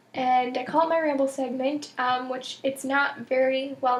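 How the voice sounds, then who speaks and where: A woman's high-pitched, monotone, flat voice against noticeable background noise. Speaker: knitting podcaster. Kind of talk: casual vlog monologue. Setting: home recording. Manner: many filler ums.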